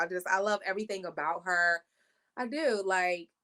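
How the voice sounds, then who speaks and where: A woman's bright, sharp, animated voice in a D.C. accent, medium-pitched with lively intonation at a moderate pace, dry and close with no echo. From Washington, D.C. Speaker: podcast co-host. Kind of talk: casual chat.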